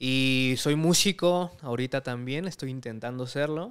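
The background stays quiet. A man speaks at a fairly slow pace. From Mexico. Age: 20s. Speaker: comedy channel audio producer and actor; actor. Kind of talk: casual interview chat. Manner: casual, slangy. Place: home room. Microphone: studio mic.

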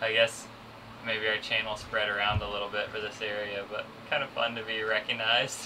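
A fairly low-pitched man, monotone and flat, at a fairly quick pace over noticeable background noise. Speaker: sailing vlogger. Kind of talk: casual vlog chat. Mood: cheerful, amused. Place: boat.

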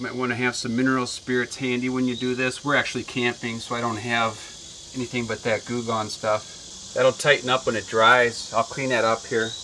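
Over light background noise, a man speaks in a monotone with flat intonation. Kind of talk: casual DIY tutorial chat. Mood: relaxed, slightly self-deprecating. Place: open country.

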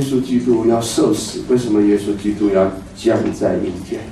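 There is audible room echo and light background noise as a man talks at a medium pitch. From China. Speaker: pastor. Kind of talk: sermon. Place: church.

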